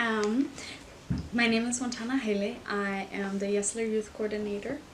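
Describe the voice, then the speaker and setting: Noticeable background noise and audible room echo accompany a woman's fairly high voice. She keeps a moderate pace and fairly even intonation. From Germany. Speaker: youth coordinator. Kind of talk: interview.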